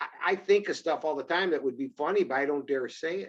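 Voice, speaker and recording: Talking at a very fast pace, a man has a fairly high voice. His pitch varies in an ordinary way. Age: 60s. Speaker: musician and comedian. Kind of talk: casual chat.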